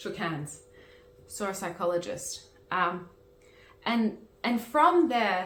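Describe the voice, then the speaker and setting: A woman speaks very slowly in a medium pitch, with lively intonation. Long, frequent pauses break her speech, and room echo is audible. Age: 30s. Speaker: managing director of a peer education channel. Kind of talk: personal testimony. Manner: halting, with frequent restarts.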